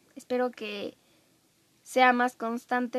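A woman speaks with a Mexican accent. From Mexico. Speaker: podcast host. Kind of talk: casual solo monologue. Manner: chatty, filler-heavy.

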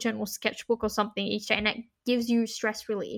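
This woman speaks with an Australian accent. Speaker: university student and student radio host. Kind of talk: casual chat.

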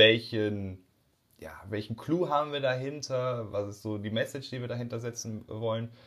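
A man's plain, everyday voice with ordinary pitch variation. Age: 20s. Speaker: audio and video producer, entrepreneur. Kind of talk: casual interview.

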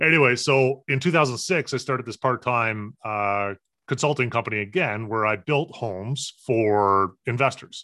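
Male speech in a plain, everyday voice at a medium pitch, moderate in pace, with ordinary pitch variation. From Newfoundland, Canada. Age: 40s. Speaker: business consultant. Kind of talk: podcast interview.

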